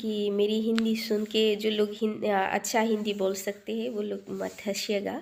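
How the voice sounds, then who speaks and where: A woman speaks with a non-native accent at a fairly high pitch. Her tone is dark and mellow. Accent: non-native Hindi, self-described weak Hindi. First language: a regional language other than Hindi (speaking Hindi). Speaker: cooking vlogger. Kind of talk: cooking tutorial. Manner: halting, many fillers.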